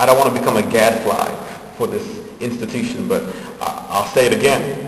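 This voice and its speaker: Noticeable background noise and audible room echo around a man's fairly high voice, moderate in pace, with very wide pitch swings. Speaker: public commenter at city council. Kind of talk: public comment speech. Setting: council chamber, public meeting.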